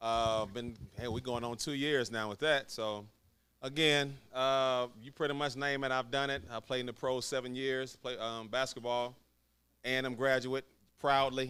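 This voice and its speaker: Loud and bright, with a sharp tone, a man speaks at a medium pitch and a moderate pace with fairly even intonation. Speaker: podcast panelist, former pro basketball player. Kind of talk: casual chat.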